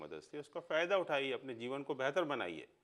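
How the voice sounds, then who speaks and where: Using vocal fry, a man talks at a moderate pace and medium pitch with lively intonation. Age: 60s. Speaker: astrologer. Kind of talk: interview.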